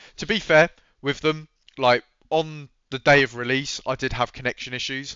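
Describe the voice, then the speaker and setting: A man with a British accent. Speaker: gaming YouTuber. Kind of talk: casual commentary reacting to a read-out update.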